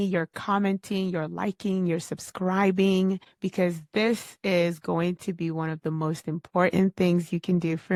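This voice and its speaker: Speaking at a fairly slow pace, a woman uses a plain, everyday voice with fairly low pitch and fairly even intonation. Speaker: podcast host. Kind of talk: solo podcast talk on personal development. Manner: conversational, earnest, motivational.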